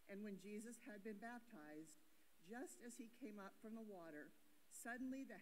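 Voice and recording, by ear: A woman speaks at a medium pitch with lively intonation and a moderate pace. Background noise is clearly audible.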